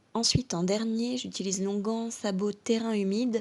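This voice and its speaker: A woman is speaking. Her pace is moderate. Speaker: horse care coach. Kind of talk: product tutorial to camera.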